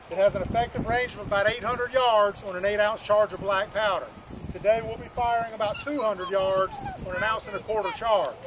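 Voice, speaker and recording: Noticeable background noise accompanies a voice at a moderate pace. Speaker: historical reenactor demonstrating a drill. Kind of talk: public demonstration narration. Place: open country.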